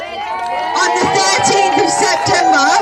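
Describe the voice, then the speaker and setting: A woman speaks at a very slow pace with crowd noise in the background. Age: 60s. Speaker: retired protester, rally speaker. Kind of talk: protest rally speech.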